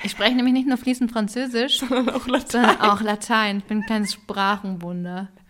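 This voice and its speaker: A woman speaks at a moderate pace with hardly any pauses, her pitch fairly high and her intonation fairly even. Noticeable background noise runs under her voice. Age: 30s. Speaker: podcast co-host. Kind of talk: casual chat.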